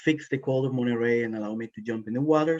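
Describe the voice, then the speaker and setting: A man's medium-pitched voice at a very fast pace, fairly even intonation, dry, close sound with no echo. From Costa Rica, La Fortuna. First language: Spanish. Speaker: environmental policy professional. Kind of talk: panel introduction.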